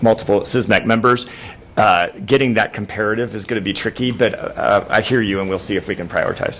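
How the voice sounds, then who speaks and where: Over noticeable background noise, a man at medium pitch talks at a fairly quick pace with fairly even intonation. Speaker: advisory committee member. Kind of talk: committee meeting discussion. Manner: fast.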